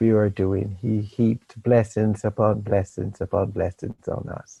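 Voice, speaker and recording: In a Jamaican accent, a dark, mellow, somewhat breathy voice moves at a fairly slow pace with flat, monotone intonation and a dry, close sound with no echo. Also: man. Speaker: meditation teacher. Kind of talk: talk to a meditation group.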